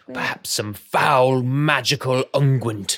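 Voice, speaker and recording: A man's put-on character voice at a medium pitch and fairly slow pace. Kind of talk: posh period exclamations. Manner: pompous, formal.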